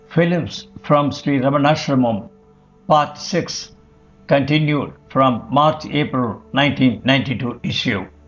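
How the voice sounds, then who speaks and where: A fairly high-pitched man at a fairly slow pace, with music in the background. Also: ordinary pitch variation. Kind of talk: documentary narration read from a magazine article.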